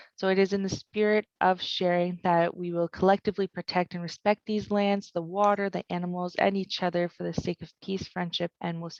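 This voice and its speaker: With a Franco-Ontarian accent, a woman speaks at a fairly quick pace and fairly low pitch, her voice dry and close with no echo against a quiet background. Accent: Franco-Ontarian Canadian English. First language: French. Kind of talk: webinar presentation.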